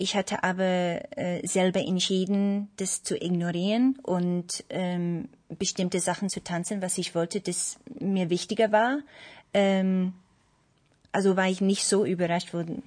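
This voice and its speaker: At a fairly slow pace, a woman speaks in a medium pitch with ordinary pitch variation against a quiet background. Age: 30s. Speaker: ballet dancer. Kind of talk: panel discussion. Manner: hesitant, many fillers.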